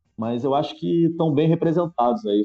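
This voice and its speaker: An unremarkable speaking voice. The intonation is lively. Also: man. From Niterói, Rio de Janeiro, Brazil. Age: 40s. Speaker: football fan guest. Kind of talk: casual chat.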